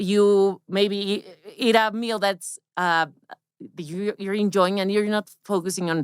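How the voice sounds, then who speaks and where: On a very clean recording with a silent background, a woman with a Spanish accent speaks at a moderate pace. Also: dry, close sound with no echo. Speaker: women's health expert. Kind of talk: interview. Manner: halting.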